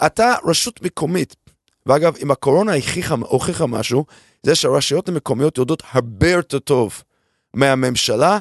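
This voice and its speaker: A man with a non-native accent speaks at a moderate pace and fairly high pitch, with lively intonation. The sound is dry and close, with no echo. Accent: foreign accent in Hebrew. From abroad, immigrated to Israel at 22. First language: not Hebrew (speaking Hebrew). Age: 50s. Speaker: venture capital investor. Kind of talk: interview. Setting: studio.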